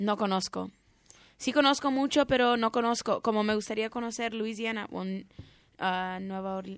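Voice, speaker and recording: A fairly high-pitched woman's voice in an English accent, fairly slow and fairly even in intonation, against a quiet background. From US, Orange County California. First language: English (speaking Spanish). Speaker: radio contributor. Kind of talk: casual radio chat. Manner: halting.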